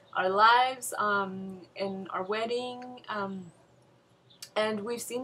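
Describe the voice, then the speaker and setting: In a Spanish accent, a woman speaks with monotone, flat intonation. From Mexico, moved to US at eight. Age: 20s. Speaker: bride-to-be. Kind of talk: casual interview.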